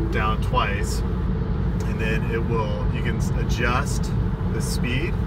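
A man talks over loud background noise. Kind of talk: casual vlog chat. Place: car. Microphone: phone near.

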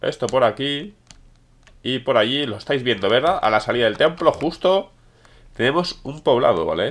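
A man with a Spanish accent and a fairly high pitch speaks at a moderate pace with lively intonation and long, frequent pauses. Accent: Peninsular Spanish. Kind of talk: gameplay commentary. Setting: home recording. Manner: animated.

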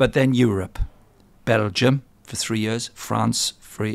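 Vocal fry runs through a man's lively intonation in a dry sound with no echo. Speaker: podcast interviewer. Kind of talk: podcast introduction. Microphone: studio mic.

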